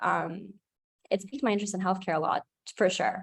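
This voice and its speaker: Somewhat breathy, a woman speaks at a medium pitch with ordinary pitch variation in a dry, close sound with no echo. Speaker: student supervisor. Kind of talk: presentation Q&A answer. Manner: fast.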